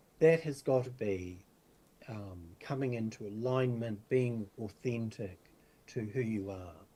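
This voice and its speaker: With a dark, mellow tone and medium pitch, a man speaks at a fairly slow pace. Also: ordinary pitch variation. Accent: New Zealand. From New Zealand, far north. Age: 60s. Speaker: spiritual teacher and medium. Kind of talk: interview. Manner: halting, many fillers.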